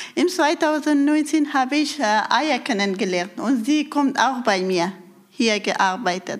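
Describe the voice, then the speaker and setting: A woman speaks at a very slow pace in a high pitch, her loudness very even and her intonation lively. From Afghanistan. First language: Persian (Dari) (speaking German). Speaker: women's group leader. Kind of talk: interview. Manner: halting.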